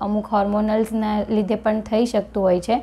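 Dark, mellow woman's voice, fairly high in pitch, in a monotone, flat intonation. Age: 30s. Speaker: gynaecologist and physiotherapy patient. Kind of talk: patient testimonial.

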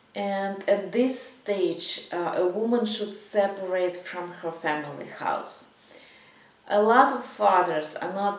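Speaking at a very slow pace, a woman shows ordinary pitch variation. Audible room echo surrounds her voice. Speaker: psychology coach. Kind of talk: advice talk to camera. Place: home room.

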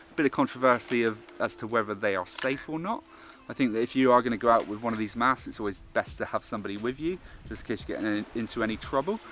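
A man races along at a very fast pace while light background noise sits behind him. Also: ordinary pitch variation, dry sound with no echo. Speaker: snorkelling instructor vlogger. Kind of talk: tutorial. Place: beach. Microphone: phone near.

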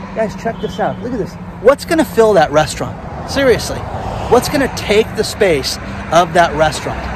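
A man talks at a moderate pace with lively intonation. There is noticeable background noise, and the sound is dry with no echo. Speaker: vlogger. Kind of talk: casual vlog commentary. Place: street. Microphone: phone near.

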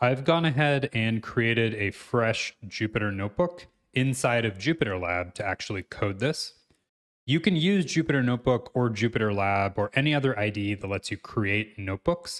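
A man talks at a moderate pace, his intonation lively, against a quiet background. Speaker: programming instructor. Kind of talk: tutorial.

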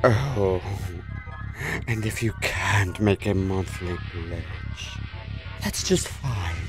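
A cartoonish character voice speaks at a low pitch and a very slow pace. Loud music plays in the background. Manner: theatrical, eerie salesman pitch.

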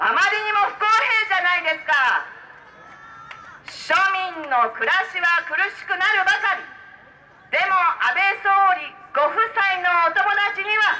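A woman speaks in a raised, projected voice with lively intonation at a fairly slow pace, leaving long, frequent pauses over light background noise. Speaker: politician giving a campaign speech. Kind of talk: political street speech. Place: street.

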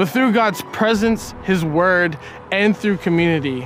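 With music in the background and a dry sound with no echo, a high-pitched man speaks at a moderate pace with ordinary pitch variation. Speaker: spoken word poet. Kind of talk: personal testimony to camera. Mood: earnest, reflective. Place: open country.

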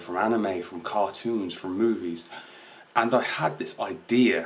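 At a fairly slow pace, a man talks in an unremarkable speaking voice. The pitch is medium and varies in an ordinary way. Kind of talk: casual talk to camera.

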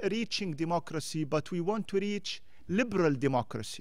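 Speaking at a moderate pace with lively intonation and an Arabic accent, a man is heard in a dry sound with no echo and a quiet background. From Jordan. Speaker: former diplomat. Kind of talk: panel discussion talk. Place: hall. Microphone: podium.

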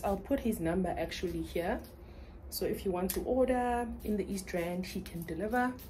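A dark, mellow voice with vocal fry and ordinary pitch variation moves at a moderate pace over light background noise. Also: woman. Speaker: vlogger. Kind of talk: casual vlog chat. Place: home room. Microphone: phone near.

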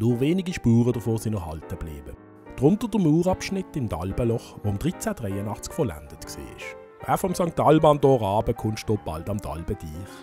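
A man with a Basel accent talks at a medium pitch, his voice making very wide pitch swings. Music plays in the background. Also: moderate pace. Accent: Basel Swiss German dialect. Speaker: local history guide. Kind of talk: historical walking-tour narration.

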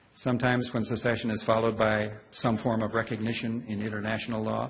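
The man's voice is somewhat breathy. He speaks at a fairly quick pace. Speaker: law professor. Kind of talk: lecture. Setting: stage with audience. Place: hall.

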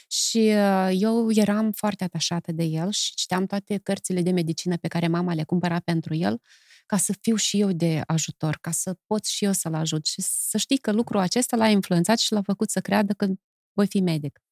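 Against a quiet background with dry sound and no echo, a woman talks at a moderate pace with ordinary pitch variation. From Moldova. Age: 50s. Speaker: poet and song lyricist; poet. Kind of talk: casual interview. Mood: warm, reflective, smiling at times. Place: studio. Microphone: studio mic.

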